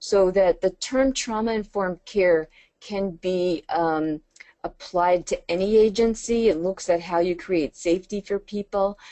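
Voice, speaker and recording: This woman uses a normal speaking voice. Her medium pitch varies in an ordinary way. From New York. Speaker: trainer. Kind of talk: webinar lecture. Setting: webinar.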